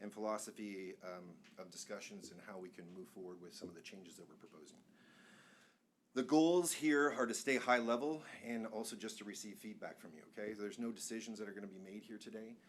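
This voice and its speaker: With audible room echo, a man talks at a fairly quick pace in a fairly low pitch. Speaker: planning consultant presenting to city council. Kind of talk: presentation at public meeting. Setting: council chamber meeting. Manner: fast.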